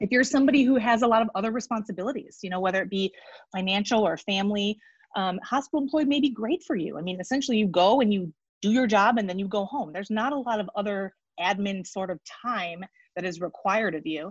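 Against a quiet background, a woman talks very fast at a medium pitch, somewhat breathy, with ordinary pitch variation. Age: 40s. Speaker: physician, pain practice owner. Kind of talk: interview conversation.

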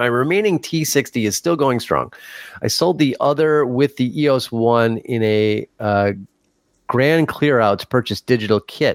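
A man speaks in a normal speaking voice at medium pitch, fairly slow, with ordinary pitch variation. The sound is dry and close with no echo, in a very clean recording with a silent background. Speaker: co-host. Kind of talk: casual chat.

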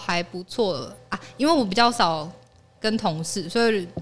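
With a medium pitch, a woman talks using lively intonation. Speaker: office worker. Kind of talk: casual chat.

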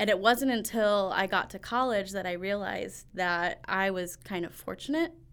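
In a Midwestern American accent, the speaker goes at a moderate pace with hardly any pauses and ordinary pitch variation, on a very clean recording with a silent background. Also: woman, medium pitch for a woman. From Northwest Indiana. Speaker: education program coordinator. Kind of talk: interview.

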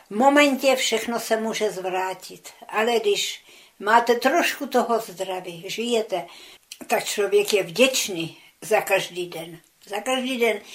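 Very slowly, a woman talks in a fairly high pitch. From Czechia, Česká Třebová; childhood in Soviet Union. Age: 90s. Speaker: war veteran, eyewitness. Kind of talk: oral history interview. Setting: her flat.

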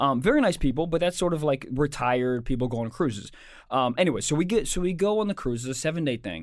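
In a very clean recording with a silent background, a man with an American accent talks very fast in a fairly high voice with lively intonation. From Maryland, US. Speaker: comedian and podcast co-host. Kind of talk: casual chat; reading aloud.

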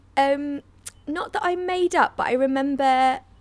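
With a London accent, a woman speaks at a fairly slow pace, her high-pitched voice carrying lively intonation. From North London. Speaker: comedian. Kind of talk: casual interview. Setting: remote call. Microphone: better microphone than host.

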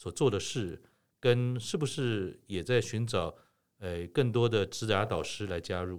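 On a very clean recording with a silent background, a man with a fairly low pitch talks at a fairly slow pace in an ordinary speaking voice with ordinary pitch variation. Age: 60s. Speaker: podcast host. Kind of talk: interview.

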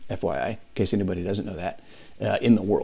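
The voice has a dark, mellow tone with vocal fry. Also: man. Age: 50s. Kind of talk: interview chat.

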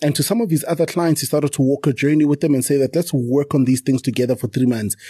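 A man speaks very fast in a fairly high, somewhat breathy voice with a dark, mellow tone and ordinary pitch variation. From South Africa. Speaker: township entrepreneur and podcaster. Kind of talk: casual interview chat.

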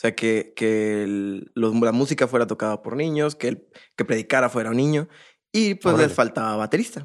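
A man talks at a fairly quick pace and medium pitch with ordinary pitch variation, in a plain, everyday voice. The recording is very clean and the background silent. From Monterrey, Mexico. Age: 20s. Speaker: drummer. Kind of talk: casual interview chat.

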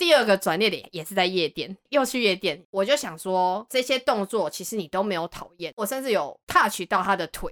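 A woman with a normal speaking voice and medium pitch talks at a moderate pace with hardly any pauses. Her intonation is lively, and the sound is dry and close with no echo. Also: big swings in loudness. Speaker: podcast guest. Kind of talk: casual chat.

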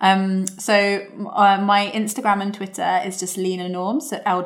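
With an unremarkable speaking voice, a woman talks at a medium pitch and with fairly even intonation. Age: 20s. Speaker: booktuber. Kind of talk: interview.

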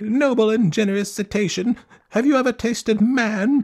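In a squeaky, put-on character voice, a man speaks at a moderate pace with a high pitch. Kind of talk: formal, elaborate. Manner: sly, flattering, polite.

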